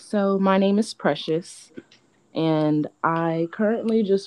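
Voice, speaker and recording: Talking at a fairly slow pace, a woman has an ordinary speaking voice with ordinary pitch variation and an American accent. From United States. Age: 20s. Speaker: podcast guest, young single mother and warehouse worker. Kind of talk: casual interview.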